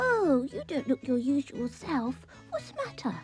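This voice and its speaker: A woman uses a put-on character voice pitched high. She keeps a moderate pace as faint music plays behind her. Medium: read story. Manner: crisp, commanding.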